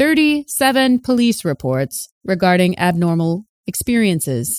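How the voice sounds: A put-on, robotic character voice at middle pitch is raised and projected, moving at a fairly slow pace on a very clean recording with a silent background.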